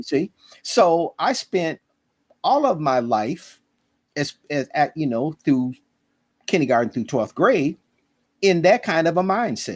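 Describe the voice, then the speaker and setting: A man with an American accent, fairly high pitch and very wide pitch swings, at a fairly slow pace with long, frequent pauses, in a very clean recording with a silent background and a dry, close sound with no echo. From US Midwest, Minneapolis, Minnesota. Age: 70s. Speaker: historian. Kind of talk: casual interview.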